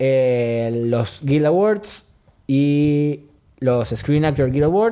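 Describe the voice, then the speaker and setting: With a Rioplatense accent, a man speaks in a fairly high, dark and mellow voice with ordinary pitch variation. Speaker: podcast host. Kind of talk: casual chat.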